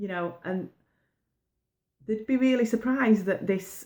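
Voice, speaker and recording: Speaking in a northern English accent, a woman keeps a moderate pace and fairly even intonation. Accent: broad northern English. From northern England, pit village. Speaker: baking business coach. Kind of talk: motivational talk to camera. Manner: casual, conversational.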